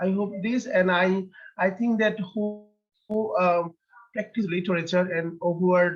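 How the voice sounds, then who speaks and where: A man speaks with a Bengali accent and a high pitch. His intonation is fairly even. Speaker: poet. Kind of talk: interview. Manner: halting.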